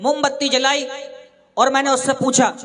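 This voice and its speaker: A man speaks at a moderate pace in an extremely high pitch, with noticeable background noise behind him. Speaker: stand-up comedian and mimicry artist. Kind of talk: live stand-up comedy. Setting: live stage show with audience.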